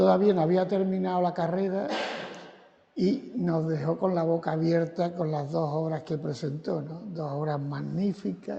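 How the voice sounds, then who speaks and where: Fairly slowly, a man speaks in a fairly high voice with ordinary pitch variation. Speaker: gallery owner. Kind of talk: guided exhibition tour. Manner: soft-spoken. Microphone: too quiet.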